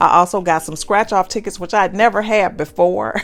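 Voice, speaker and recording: A woman's warm, enthusiastic tone on a very clean recording with a silent background. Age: 60s. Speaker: lifestyle vlogger. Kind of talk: casual vlog narration.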